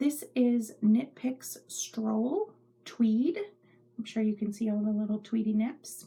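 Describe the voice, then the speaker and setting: A very slow, somewhat breathy voice with a dark, mellow tone and fairly even intonation. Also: woman, fairly high pitch for a woman. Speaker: knitting podcaster. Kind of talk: casual chat. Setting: home craft room.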